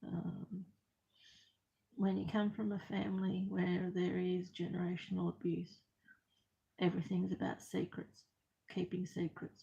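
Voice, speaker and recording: A woman talks with an Australian accent at a fairly slow pace. She leaves long, frequent pauses. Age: 50s. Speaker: crafter vlogger. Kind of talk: personal testimony. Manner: soft-spoken; halting.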